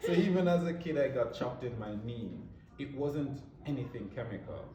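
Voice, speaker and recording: A man with a Jamaican accent and a fairly high pitch speaks fairly quickly with lively intonation, amid audible room echo and noticeable background noise. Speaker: beauty brand founder. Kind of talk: interview.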